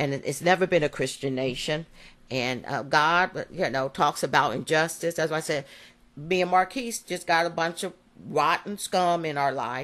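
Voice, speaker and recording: With a very deep, low pitch, a woman speaks in an animated tone at a moderate pace, with ordinary pitch variation and a quiet background. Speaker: parent advocate. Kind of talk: personal monologue recording.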